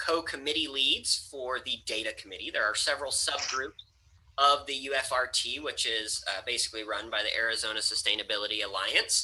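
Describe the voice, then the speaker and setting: A man at medium pitch talks at a fairly quick pace while noticeable noise sounds in the background. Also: ordinary pitch variation. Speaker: university instructor and GIS director. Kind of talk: lecture. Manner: fast.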